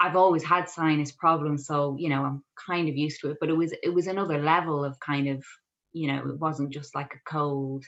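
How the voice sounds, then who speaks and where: With a very deep, low pitch, this woman speaks fairly quickly in a monotone, flat intonation. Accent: Irish. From Ireland, Kildare. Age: 30s. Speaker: dietitian. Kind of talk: podcast interview, personal story.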